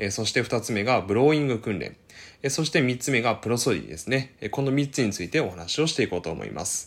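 With vocal fry and lively intonation, a man at a medium pitch speaks at a very fast pace. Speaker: speech-language therapist YouTuber. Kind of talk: educational explainer video. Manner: many filler words, hesitant pauses.

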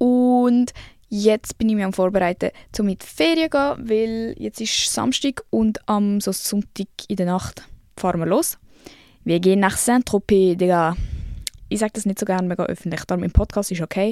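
A woman with a Swiss accent talks at a moderate pace in a medium-pitched, dark and mellow voice with ordinary pitch variation and long, frequent pauses, on a very clean, dry and close recording with a silent background and no echo. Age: 20s. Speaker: podcast host. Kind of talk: casual monologue. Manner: animated.

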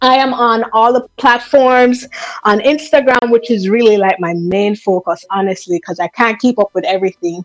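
Music plays in the background as a woman speaks at a moderate pace, her pitch fairly high with ordinary variation. The sound is dry and close, with no echo. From Jamaica, Kingston. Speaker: motivational speaker. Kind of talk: personal story interview. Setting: phone call.

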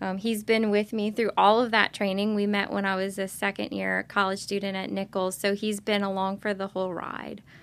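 At a moderate pace and with hardly any pauses, a woman with an American accent speaks at a medium pitch in a monotone, flat intonation, in a very clean recording with a silent background. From US South, Lockport, Louisiana (Lafourche Parish). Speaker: neurosurgeon. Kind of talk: interview.

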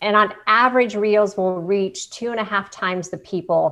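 Lively intonation marks this voice with a Midwestern American accent over a quiet background. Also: woman. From Canton, Ohio. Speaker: television host and video coach. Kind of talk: interview.

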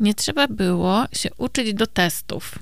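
This woman talks at a very slow pace, her pitch sitting in the medium range. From Poland, Kielce. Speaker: psychotherapist podcast co-host. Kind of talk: casual chat.

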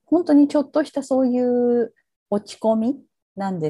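A woman speaks in a dark, mellow tone. Her delivery is somewhat breathy and at a moderate pace. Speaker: psychotherapist and social worker. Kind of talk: interview. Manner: hesitant, many fillers.

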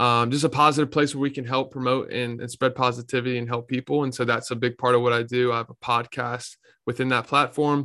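A man talks at a very fast pace with hardly any pauses, in an American accent. His tone is bright and sharp and his intonation monotone and flat. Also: medium pitch for a man, very clean recording, silent background. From North Carolina (Raleigh). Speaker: entrepreneur and podcast host. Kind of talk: casual interview chat.

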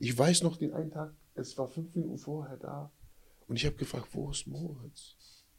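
At a moderate pace, a man speaks with a fairly high pitch, a dark, mellow tone, vocal fry and ordinary pitch variation. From USA, moved to Germany at about 12. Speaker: life coach, former prisoner and football player. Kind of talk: casual chat.

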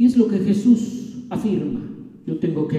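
A man is speaking. The room echo is audible. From Mexico City. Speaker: pastor. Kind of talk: sermon.

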